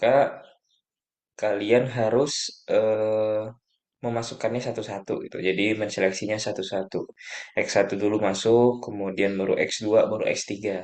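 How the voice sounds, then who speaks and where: At a moderate pace, a man talks with a fairly low pitch and monotone, flat intonation. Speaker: lecturer / tutor. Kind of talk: lecture. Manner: soft-spoken; halting.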